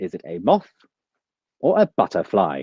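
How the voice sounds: Putting on a robotic character voice, a man speaks at a fairly low pitch and a moderate pace.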